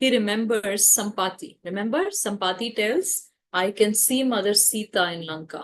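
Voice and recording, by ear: The speaker is reading aloud in a natural voice with ordinary pitch variation. The background is quiet.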